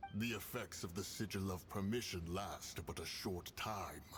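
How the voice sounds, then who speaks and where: A man puts on a character voice with a very deep, low pitch. He speaks at a moderate pace over clear background noise. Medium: video game. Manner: solemn, grave.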